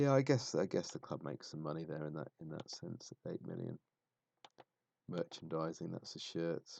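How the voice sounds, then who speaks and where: With a southern English accent, a man speaks in a very deep, low, dark and mellow voice, his intonation lively and his loudness swinging widely. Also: moderate pace, dry, close sound with no echo. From southern England. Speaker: football streamer. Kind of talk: live stream commentary. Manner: halting.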